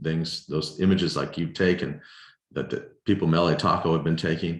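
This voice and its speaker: A man talks at a fairly quick pace, and room echo can be heard. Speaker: filmmaker. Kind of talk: lecture Q&A over video call. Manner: halting, many repetitions.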